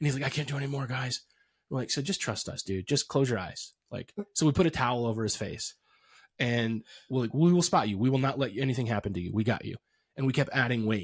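A somewhat breathy man of medium pitch talks at a very fast pace in a very clean recording with a silent background. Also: ordinary pitch variation. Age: 40s. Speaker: podcast host. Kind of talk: casual interview; promotional outro. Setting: studio.

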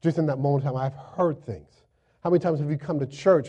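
Somewhat breathy and dark, mellow in tone, the voice runs at a very fast pace with ordinary pitch variation. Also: man. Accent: American. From Florida, US South. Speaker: pastor. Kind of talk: sermon. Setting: church. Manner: animated.

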